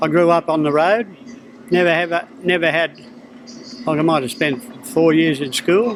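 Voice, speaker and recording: With a strong Australian accent, a man talks at a moderate pace in a high pitch, his intonation lively, with long, frequent pauses and noticeable background noise. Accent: broad Australian. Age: 70s. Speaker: harness racing trainer. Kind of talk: interview. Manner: casual.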